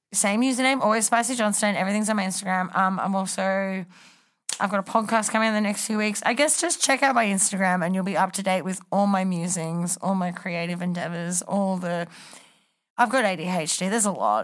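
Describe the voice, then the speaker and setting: A woman with an Australian accent speaks at a fairly quick pace. Her pitch is medium, with ordinary pitch variation. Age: 20s. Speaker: reality TV contestant. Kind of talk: casual chat.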